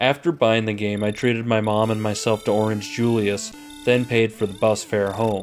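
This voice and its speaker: Music plays behind a man speaking at medium pitch. His pace is moderate and his intonation fairly even. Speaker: retro game reviewer. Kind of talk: scripted narration.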